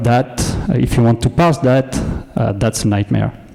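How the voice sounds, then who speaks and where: Someone speaks with a French accent over noticeable background noise. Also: man. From France. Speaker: data engineer, conference speaker. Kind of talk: conference talk. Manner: hesitant, many filler words.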